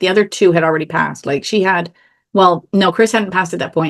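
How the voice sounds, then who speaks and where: Against a quiet background, a woman with a fairly low pitch and ordinary pitch variation talks in an animated tone at a very fast pace. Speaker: author and contest expert. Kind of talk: interview. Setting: video call from home office. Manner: loud.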